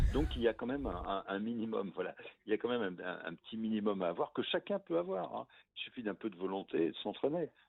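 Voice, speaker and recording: Talking at a very fast pace, a man uses a fairly low pitch and ordinary pitch variation. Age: 70s. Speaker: former intelligence officer, author. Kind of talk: radio interview.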